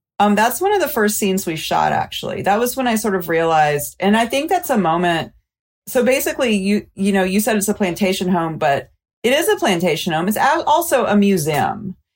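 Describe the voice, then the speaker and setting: On a very clean recording with a silent background, a woman with an American accent talks fairly quickly at a medium pitch, her loudness very even while her pitch swings very widely. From US South, Mobile, Alabama. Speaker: documentary filmmaker. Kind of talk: interview.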